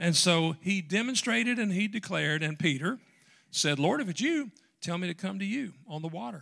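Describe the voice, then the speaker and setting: With a Southern US accent, a man speaks at a fairly quick pace in a high pitch, his tone bright and sharp. His intonation is lively, and the recording is very clean with a silent background. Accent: Southern American. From US South, western Tennessee. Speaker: pastor. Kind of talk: sermon.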